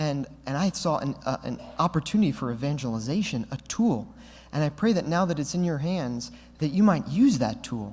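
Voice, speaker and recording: On a very clean recording with a silent background, a man talks with lively intonation and a somewhat breathy voice. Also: fairly high pitch for a man. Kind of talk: Q&A talk at a conference. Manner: fast; animated.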